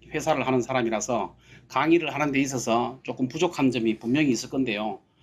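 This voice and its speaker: A man speaks at a moderate pace. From Gyeongsang region, Korea (Daegu). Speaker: company CEO, guest speaker. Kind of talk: seminar talk. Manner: halting, many fillers.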